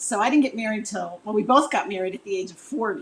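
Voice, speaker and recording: A woman with a normal speaking voice, fairly high in pitch, with ordinary pitch variation. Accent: American. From Chicago, US Midwest. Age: 60s. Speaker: relationship coach. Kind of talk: interview.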